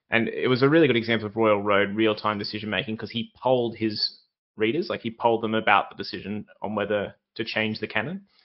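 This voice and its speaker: A man with an Australian accent talks at a very fast pace, his medium pitch carrying fairly even intonation. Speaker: podcast host. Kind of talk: interview. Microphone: bad internet connection, glitches.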